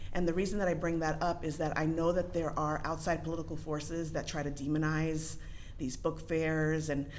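Fairly quick speech from a woman with a very deep, low pitch, in a monotone, flat delivery with audible room echo. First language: not English. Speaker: parent public commenter. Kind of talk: public comment. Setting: school board meeting at microphone. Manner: casual, hesitant with fillers.

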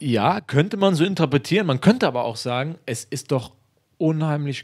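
The man's intonation is lively, his pace moderate, and the background quiet. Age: 30s. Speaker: footballer; interviewee. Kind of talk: interview. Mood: relaxed, reflective. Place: home room. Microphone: handheld.

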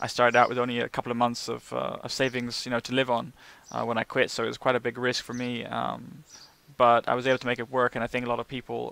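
A man with a British accent talks at a very fast pace in a bright, sharp tone with monotone, flat intonation, the sound dry with no echo. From UK. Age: 30s. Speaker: vlogger and online marketing entrepreneur. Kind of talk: casual to-camera monologue. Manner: hesitant, many fillers. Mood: calm, reflective. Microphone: headset.

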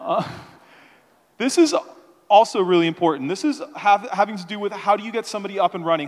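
A man with a high pitch, lively intonation and very fast pace, over a quiet background. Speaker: conference speaker. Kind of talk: conference talk. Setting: stage with audience. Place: hall.

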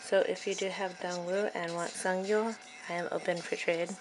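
A woman at medium pitch and a moderate pace, fairly even in intonation, with noticeable background noise. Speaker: fan unboxing albums. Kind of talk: casual unboxing talk to camera. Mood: excited fangirling. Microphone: phone near.

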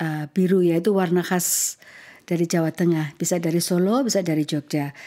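A woman with a dark, mellow tone and fairly low pitch, at a moderate pace with fairly even intonation and very even loudness, against a quiet background. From Indonesia. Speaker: ambassador hosting a podcast. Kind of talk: interview. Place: home room. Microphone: studio mic.

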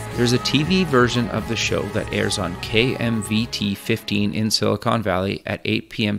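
Over music in the background, a man keeps a moderate pace with hardly any pauses. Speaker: radio and TV show host. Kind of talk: show intro read.

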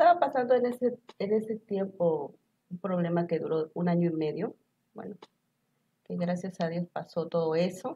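Somewhat breathy and fairly low in pitch, a woman speaks with ordinary pitch variation and long, frequent pauses. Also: moderate pace. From Mexico, Tlaxcala. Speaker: author; talk show guest. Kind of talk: talk show interview. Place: studio. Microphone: lapel.

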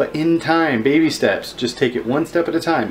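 Light noise runs behind a man who talks at a fairly quick pace. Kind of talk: casual vlog chat. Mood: friendly advice-giving. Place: kitchen. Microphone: phone near.

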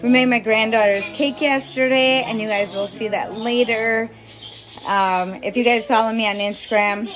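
Faint music plays in the background as a woman talks at a moderate pace with fairly even intonation. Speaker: family vlogger. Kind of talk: casual vlog chat. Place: home room. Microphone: phone near.

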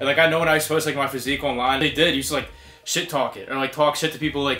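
A man talks at a very fast pace in a flat monotone. Faint music plays in the background. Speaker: fitness vlogger. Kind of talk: casual vlog chat. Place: gym. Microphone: camera far.

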